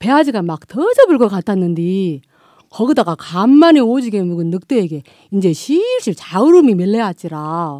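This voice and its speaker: A dark, mellow tone in a Jeolla accent, at a moderate pace. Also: woman, dry, close sound with no echo. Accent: Jeolla dialect (Gwangju). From Gwangju, South Jeolla, Korea. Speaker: non-professional voice actor. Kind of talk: fairy tale storytelling.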